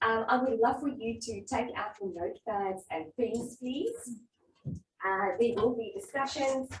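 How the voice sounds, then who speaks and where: Speaking with a South African accent, a woman with a high pitch talks at a moderate pace. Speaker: workshop facilitator. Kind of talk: interactive workshop presentation.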